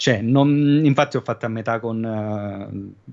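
A man speaks in a plain, everyday voice at a medium pitch. The pitch variation is ordinary and the background quiet. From southern Italy, Cilento area; Southern Italy. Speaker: podcast guest; streamer. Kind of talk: casual chat. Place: home room. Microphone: studio mic.

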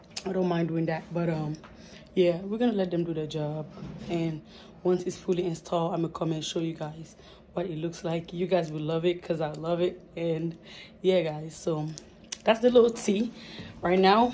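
A woman with a fairly low pitch speaks at a moderate pace, her intonation fairly even, with long, frequent pauses over light background noise. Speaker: vlogger. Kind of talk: casual vlog chat. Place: home room. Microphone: phone near.

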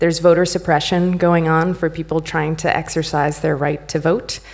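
A woman speaks in an ordinary speaking voice with fairly low pitch. Her intonation stays fairly even. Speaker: conference speaker. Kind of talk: conference talk. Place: stage.

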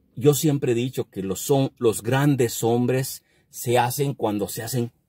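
A man speaks very slowly at a medium pitch, with a dark, mellow, somewhat breathy tone and fairly even intonation. The sound is dry with no echo, against a quiet background. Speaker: YouTuber and trucking business owner. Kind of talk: casual advice monologue; casual vlog chat, opinion rant. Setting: at a work site. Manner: halting; blunt. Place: car. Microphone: phone near.

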